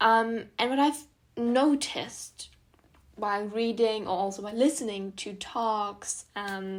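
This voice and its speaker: Speaking with a German accent at a fairly slow pace, the voice shows ordinary pitch variation and big swings in loudness. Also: woman, fairly high pitch for a woman. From southern Germany, near Munich. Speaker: student podcaster. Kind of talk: casual podcast monologue. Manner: many filler ums.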